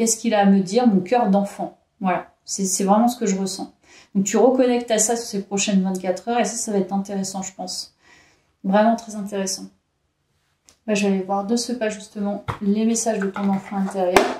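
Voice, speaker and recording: A woman talks fairly quickly in a somewhat breathy, dark and mellow voice at a medium pitch. Her intonation is monotone and flat, with big swings in loudness. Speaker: tarot card reader. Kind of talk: tarot reading video. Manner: hesitant, with fillers.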